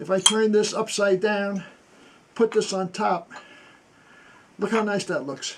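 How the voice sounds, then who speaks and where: A man talks at a high pitch and a fairly slow pace, with fairly even intonation. He leaves long, frequent pauses. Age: 80s+. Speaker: military veteran and antiques restorer. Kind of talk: workshop tour. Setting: home basement workshop.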